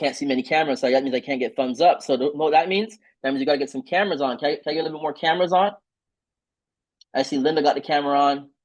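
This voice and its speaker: A man speaks at a very fast pace. His voice is fairly high in pitch, with ordinary pitch variation. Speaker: trading team leader and trainer. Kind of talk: online training call. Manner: animated.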